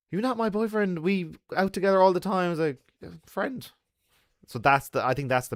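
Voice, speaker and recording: A man with an Irish accent speaks at a fairly quick pace in a very clean recording with a silent background. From Ireland. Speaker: travel vlogger. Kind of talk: livestream chat.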